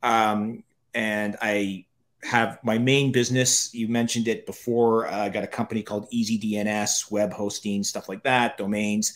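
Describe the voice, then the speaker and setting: A plain, everyday voice moves at a moderate pace in a very clean recording with a silent background. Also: man. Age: 50s. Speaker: author and entrepreneur. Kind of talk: interview.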